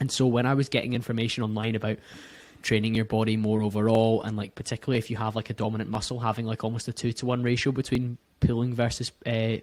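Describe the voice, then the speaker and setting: Speaking very fast with a Scottish accent, a man at medium pitch keeps a flat monotone in a dry, close recording with no echo. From Scotland, near Glasgow. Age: 30s. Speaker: podcast host, guest. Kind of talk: casual interview chat.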